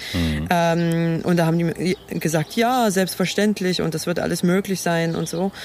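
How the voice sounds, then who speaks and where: A woman with a normal speaking voice speaks fairly slowly at a fairly low pitch, her intonation fairly even. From rural eastern Germany (former GDR). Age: young. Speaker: blind podcast co-host. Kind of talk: casual chat. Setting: outdoors.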